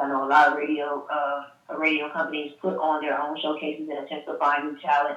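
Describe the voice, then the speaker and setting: Audible room echo surrounds the voice. A woman speaks with a very deep, low pitch. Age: 20s. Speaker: radio host and promotions staffer. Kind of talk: interview.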